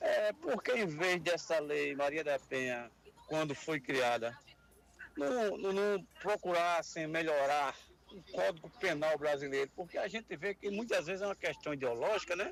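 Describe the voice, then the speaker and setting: In an ordinary speaking voice, the speaker goes at a fairly slow pace with lively intonation. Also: man, fairly high pitch for a man. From Paraíba, Brazil (João Pessoa). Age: 60s. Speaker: radio caller, former police officer. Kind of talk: call-in comment.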